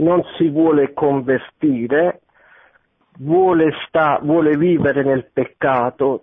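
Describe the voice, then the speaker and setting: Fairly high in pitch, a man talks with a plain, everyday voice and fairly even intonation. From Naples. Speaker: radio caller. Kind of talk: testimony. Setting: phone call.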